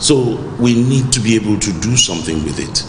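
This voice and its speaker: A man talks over noticeable background noise. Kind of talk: interview answer. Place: hall.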